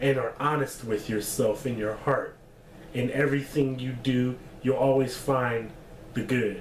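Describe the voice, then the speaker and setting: Medium-pitched male speech with fairly even intonation and audible room echo. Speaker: vlogger giving life advice. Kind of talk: casual vlog monologue. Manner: halting, with false starts; laid-back.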